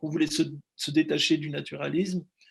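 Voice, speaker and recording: A man speaks at a fairly quick pace and a fairly high pitch, with vocal fry in his voice. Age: 60s. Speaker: film director. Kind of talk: interview. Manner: halting, many repetitions.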